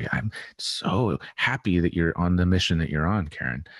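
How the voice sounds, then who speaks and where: Over a quiet background, a man speaks at a very slow pace. His pitch is very deep and low, and the sound is dry and close with no echo. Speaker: podcast guest, healing and embodiment teacher. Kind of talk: casual interview chat. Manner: soft-spoken.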